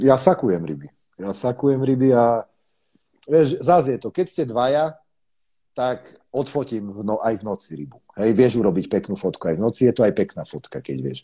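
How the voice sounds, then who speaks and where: A man's dark, mellow voice at medium pitch, with very wide pitch swings, big swings in loudness and a moderate pace over a quiet background. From eastern Slovakia, Košice. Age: 30s. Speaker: carp angler. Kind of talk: casual chat.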